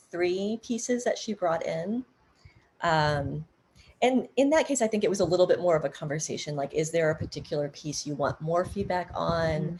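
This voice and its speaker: A woman's voice is somewhat breathy and medium in pitch. She talks at a moderate pace. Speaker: dance artist and workshop presenter. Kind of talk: workshop Q&A on Zoom. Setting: video call.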